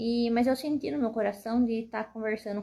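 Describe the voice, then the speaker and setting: A soft-spoken woman with a dark, mellow tone and fairly even intonation. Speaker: mother and shop owner. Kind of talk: personal testimony.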